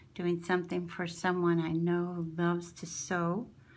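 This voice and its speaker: A woman with an American accent speaks at a very slow pace, her voice somewhat breathy. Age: 60s. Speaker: crafting channel owner. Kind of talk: show-and-tell haul video. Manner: animated.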